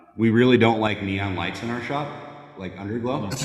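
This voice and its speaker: There is audible room echo as a man speaks. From North Dakota, US Midwest. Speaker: motorcycle builder and shop owner. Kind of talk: casual chat. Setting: live podcast with several hosts.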